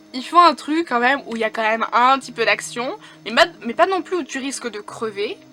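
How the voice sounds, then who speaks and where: A woman speaks in a raised, projected voice with an animated tone and high pitch. Music plays in the background. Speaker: book YouTuber. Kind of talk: casual vlog talk.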